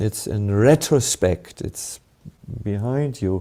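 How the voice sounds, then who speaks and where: Speaking very slowly, a man with a German accent has a fairly low pitch and a dark, mellow tone. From Germany. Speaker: monk and spiritual teacher. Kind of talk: spiritual Q&A answer. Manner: halting, many fillers.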